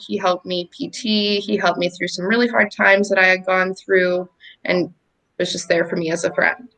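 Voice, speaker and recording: A woman speaks at a moderate pace with a medium pitch. Her tone is bright and sharp, and her intonation is fairly even. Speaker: war veteran. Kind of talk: interview answer. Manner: casual, conversational.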